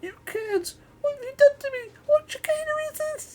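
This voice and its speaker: A squeaky, put-on character voice carries the whole clip. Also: moderate pace. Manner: indignant, alarmed.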